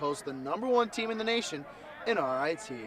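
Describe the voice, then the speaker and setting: Against noticeable background noise, a man with a high voice talks at a fairly quick pace with ordinary pitch variation. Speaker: sports reporter. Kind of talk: sports news report.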